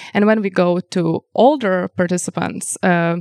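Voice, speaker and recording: Medium pitch from a woman with fairly even intonation, in a very clean recording with a silent background and dry, close sound with no echo. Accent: Lithuanian. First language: Lithuanian. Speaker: color psychology researcher. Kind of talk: interview. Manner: hesitant with fillers.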